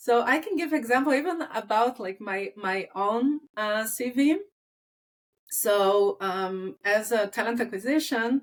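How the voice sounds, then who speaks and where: The speaker uses a non-native accent, talking at a fairly slow pace with lively intonation. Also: woman, fairly high pitch for a woman. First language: not English. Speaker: talent acquisition recruiter. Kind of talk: casual interview chat. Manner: halting, many fillers.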